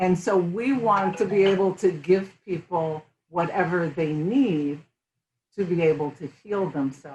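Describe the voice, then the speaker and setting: A woman talks at a fairly slow pace in a fairly low, somewhat breathy voice. Her pitch varies in an ordinary way. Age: 60s. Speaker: functional medicine health practitioner. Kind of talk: casual chat. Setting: interview over tea.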